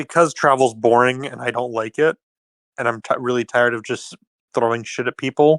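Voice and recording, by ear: The speaker is reading aloud in a natural voice while the background remains quiet.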